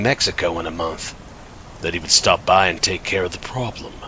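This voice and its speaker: There is noticeable background noise behind the man as he talks. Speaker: horror narrator. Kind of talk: horror story narration (creepypasta), read in first person.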